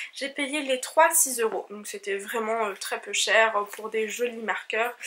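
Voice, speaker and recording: A woman's fairly high voice, very slow and with big swings in loudness, ordinary pitch variation and noticeable background noise. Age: 20s. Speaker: knitting vlogger. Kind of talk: casual vlog talk. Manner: hesitant with fillers.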